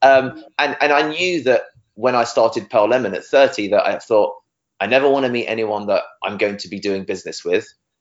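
This man talks with a British accent. His pace is fairly quick. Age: 30s. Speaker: SEO agency director. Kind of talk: interview. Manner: fast, animated.

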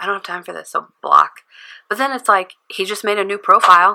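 Delivered at a very fast pace, the voice has a bright, sharp tone and fairly even intonation. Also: woman. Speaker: podcast guest, mediator. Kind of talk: casual chat.

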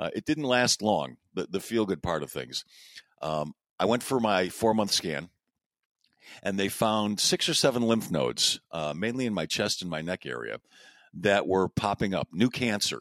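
The sound is dry and close, with no echo. A man speaks with lively intonation and vocal fry. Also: fairly low pitch for a man, moderate pace, very clean recording, silent background. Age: 60s. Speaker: podcast host, cancer patient. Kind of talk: casual conversation.

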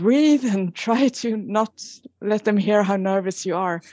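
A woman's fairly high voice with a Swedish accent, very slow, with ordinary pitch variation and a dry, close sound free of echo. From Sweden. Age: 40s. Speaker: emergency nurse and contest winner. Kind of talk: interview. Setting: phone or video call.

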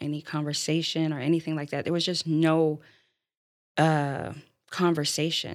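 A woman speaks in a very deep, low pitch with monotone, flat intonation at a moderate pace. The recording is very clean, with a silent background. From Florida. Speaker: single mother, church member. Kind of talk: interview.

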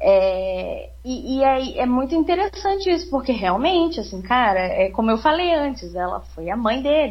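Her voice is high for a woman. The pitch swings very widely. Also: moderate pace. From southern Minas Gerais, Brazil. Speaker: podcast guest. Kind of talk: casual chat.

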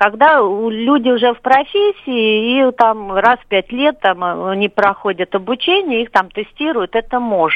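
A woman with a fairly high pitch and an unremarkable speaking voice talks at a fairly slow pace with ordinary pitch variation. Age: 40s. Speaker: caller. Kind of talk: call-in comment. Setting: phone call.

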